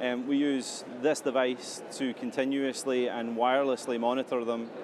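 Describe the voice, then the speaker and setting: A man with a Scottish accent at medium pitch, moderate pace and monotone, flat intonation, over noticeable background noise. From Scotland. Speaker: health tech company CEO. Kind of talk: interview.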